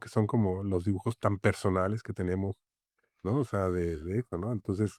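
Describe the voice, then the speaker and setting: This man talks at a fairly slow pace in a Mexican accent, his pitch varying in an ordinary way. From Mexico City. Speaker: graphic designer and author. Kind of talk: interview conversation. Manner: halting, many fillers.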